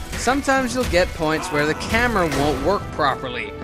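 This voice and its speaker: Over music in the background, a man talks at a moderate pace in a high pitch. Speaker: Let's Play commentator. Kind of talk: casual gameplay commentary.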